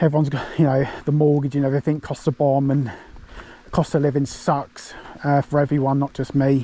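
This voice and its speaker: A man speaks with an English accent at a fairly high pitch. His intonation is monotone and flat. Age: 40s. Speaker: fishing vlogger. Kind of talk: casual vlog narration. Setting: outdoors. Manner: lowered voice near the water.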